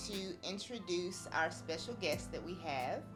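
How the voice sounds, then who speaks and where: Music plays in the background as a woman speaks at a medium pitch with ordinary pitch variation. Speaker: podcast host; author. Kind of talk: podcast interview.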